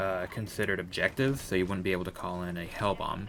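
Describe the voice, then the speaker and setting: A man speaks quietly at a fairly low pitch with fairly even intonation. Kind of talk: gaming commentary voiceover. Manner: quiet, hesitant.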